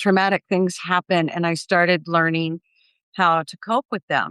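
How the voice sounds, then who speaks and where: Over a quiet background, a woman with a normal speaking voice talks at medium pitch and a moderate pace, the sound dry and close with no echo. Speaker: grief and life coach. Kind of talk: interview testimony.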